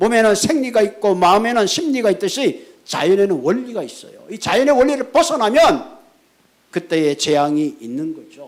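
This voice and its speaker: A man speaks at a moderate pace with a high pitch. His pitch swings very widely. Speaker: pastor. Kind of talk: sermon. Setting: church.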